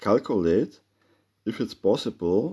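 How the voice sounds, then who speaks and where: A man's dark, mellow voice with a non-native accent. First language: German. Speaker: amateur theorist, video maker. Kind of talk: explanatory monologue with drawing. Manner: halting, many filler sounds.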